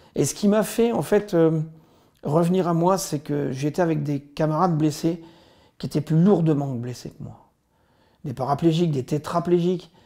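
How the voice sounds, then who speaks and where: Pausing long and often, a man with a fairly high pitch speaks at a fairly slow pace with ordinary pitch variation and big swings in loudness. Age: 50s. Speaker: army veteran. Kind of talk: testimony. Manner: halting.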